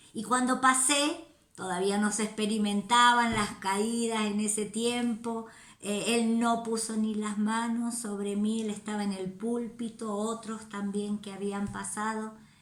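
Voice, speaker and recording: Over noticeable background noise and audible room echo, a woman with a fairly high pitch talks at a fairly slow pace in a monotone, flat intonation. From Argentina (La Rioja). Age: 60s. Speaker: missionary. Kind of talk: testimony.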